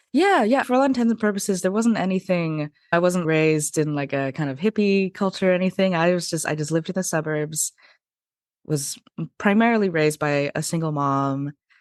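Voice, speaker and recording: In a General American accent, a woman talks at a fairly quick pace with lively intonation and a fairly low pitch. It is a plain, everyday voice, set against a quiet background. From US West Coast, Portland, Oregon. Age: 30s. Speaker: podcast guest, polyamory advocate. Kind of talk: interview. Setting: podcast.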